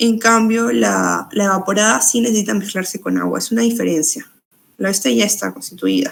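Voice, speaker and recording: The speech comes at a fairly quick pace with very even loudness. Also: woman. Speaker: nutrition student tutor. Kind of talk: exam review lecture. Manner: fast.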